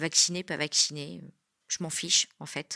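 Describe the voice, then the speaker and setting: With a bright, sharp tone, a woman speaks at a moderate pace in a very deep, low pitch and a monotone, flat intonation, on a very clean recording with a silent background and a dry, close sound without echo. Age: 40s. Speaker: former nurse, adult trainer. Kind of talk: testimony. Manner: hesitant, many filler sounds.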